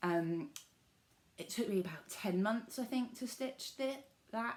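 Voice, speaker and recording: A woman speaks with a southern English accent at a fairly slow pace. Her fairly high voice moves with lively intonation. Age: 20s. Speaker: cross-stitch vlogger. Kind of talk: casual vlog talk.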